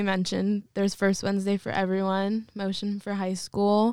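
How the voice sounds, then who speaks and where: A woman with a medium pitch and an American accent speaks at a moderate pace. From Sonoma County, California. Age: young. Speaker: church intern. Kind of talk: casual chat.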